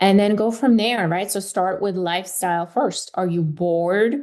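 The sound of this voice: A woman talks at a medium pitch and a fairly slow pace. Her tone is slightly mellow, with ordinary pitch variation.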